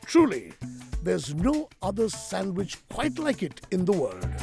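Clear music plays behind a man who speaks at a fairly slow pace, the sound dry with no echo. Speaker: TV food show host. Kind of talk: presenter talk to camera and interview.

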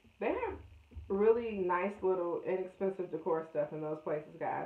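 A woman is speaking. There is audible room echo. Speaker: vlogger. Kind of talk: casual vlog chat. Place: home room. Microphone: phone near.

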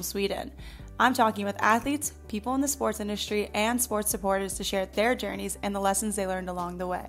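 Music in the background behind a woman speaking at a fairly quick pace. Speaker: podcast host. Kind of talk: podcast intro read.

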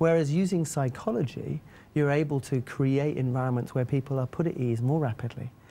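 Moving along fairly quickly, the man's voice has a dark, mellow tone. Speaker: guest. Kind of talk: interview answer. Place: studio.

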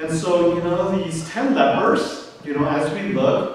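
A high-pitched man amid light background noise and strong room echo. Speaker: pastor. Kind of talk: sermon. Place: church.

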